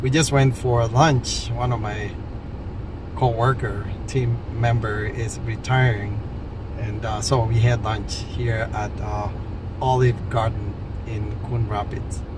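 A man at a very slow pace with long, frequent pauses, dry sound with no echo and loud background noise. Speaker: vlogger. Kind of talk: casual vlog chat. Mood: relaxed, friendly. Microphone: phone near.

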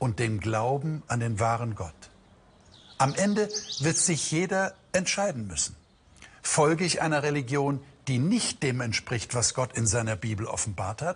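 Speaking fairly slowly with long, frequent pauses, a man swings very widely in pitch. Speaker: presenter. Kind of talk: sermon-like presentation. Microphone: lapel.

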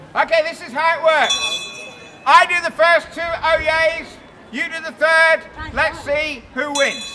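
A man speaks in a raised, projected voice at an extremely high pitch, at a fairly slow pace with long, frequent pauses. His loudness swings widely, and noticeable background noise sits behind him. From England. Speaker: town crier. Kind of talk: town crier performance to a tourist crowd, with quiz and banter. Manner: loud, projecting, commanding. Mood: jovial, teasing. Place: street. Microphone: camera far.

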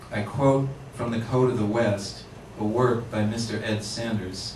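The man talks at a very slow pace with fairly even intonation. Light background noise and audible room echo surround his voice. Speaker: poet reading. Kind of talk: poetry reading to a live audience, performed. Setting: bookshop reading, with microphone. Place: shop.

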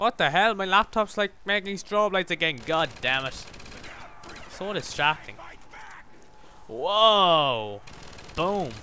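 A man with an Irish accent speaks very slowly in a high pitch, his tone bright and sharp and his intonation lively, with long, frequent pauses and light background noise. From Ireland. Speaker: gaming YouTuber. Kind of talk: live gameplay commentary. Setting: home recording with microphone. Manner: animated.

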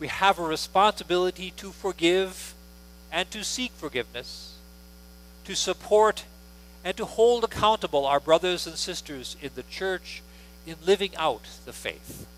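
A high-pitched man speaks at a fairly slow pace with ordinary pitch variation and big swings in loudness, in a dry sound with no echo. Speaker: pastor leading worship. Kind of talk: liturgy and announcements. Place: church.

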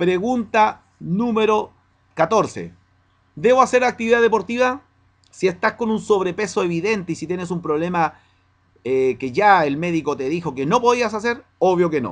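Here a man talks at a moderate pace with lively intonation. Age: 40s. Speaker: fitness coach selling nutrition products. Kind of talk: promotional Q&A monologue. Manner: direct address, conversational. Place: home room. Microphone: webcam.

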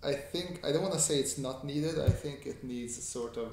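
Ordinary pitch variation amid light background noise and audible room echo. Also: man. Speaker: artist streaming a sketching tutorial. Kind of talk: casual livestream chat answering viewers. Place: home room.

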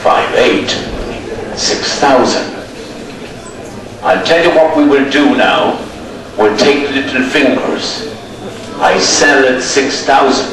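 With an Irish accent and a fairly high pitch, a man speaks at a very slow pace with long, frequent pauses and ordinary pitch variation, amid noticeable background noise and audible room echo. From Ireland, county Roscommon. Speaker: livestock auctioneer. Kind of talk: livestock auction calling. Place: market.

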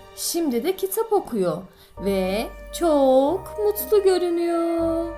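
A woman with a high pitch speaks at a very slow pace, her voice making very wide pitch swings over music in the background. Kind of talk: children's fairy tale narration. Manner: expressive.

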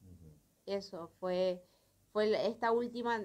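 The woman has an ordinary speaking voice, fairly high in pitch, with fairly even intonation. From Corrientes, Argentina. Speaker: carnival dancer; interviewee. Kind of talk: interview. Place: studio. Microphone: handheld.

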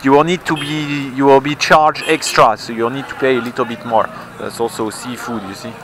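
A man's voice swings widely in loudness over noticeable background noise, in a dry recording with no echo. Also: ordinary pitch variation, fairly quick pace. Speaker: foreign resident vlogger. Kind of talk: casual vlog chat. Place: street. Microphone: phone near.

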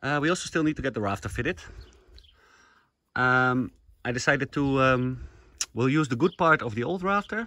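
At a moderate pace, the speaker's bright, sharp voice swings very widely in pitch, with a dry sound and no echo. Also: man. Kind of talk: casual vlog chat. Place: open country. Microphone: phone near.

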